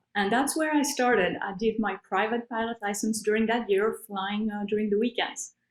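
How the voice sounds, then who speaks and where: In a French accent, a woman speaks at a moderate pace. Her pitch is fairly high, with ordinary variation. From Switzerland. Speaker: bush pilot and author. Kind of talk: interview. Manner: hesitant, many fillers.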